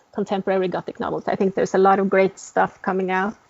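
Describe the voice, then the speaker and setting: The speaker is a woman with a Norwegian accent. Her pitch is medium. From Norway. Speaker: novelist. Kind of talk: interview.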